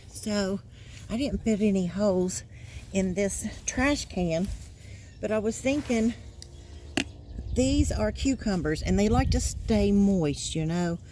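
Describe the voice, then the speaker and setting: A woman speaks with an American accent at a very slow pace. Her speech has long, frequent pauses. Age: 60s. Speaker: gardening vlogger. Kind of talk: casual vlog narration. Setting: outdoors in yard.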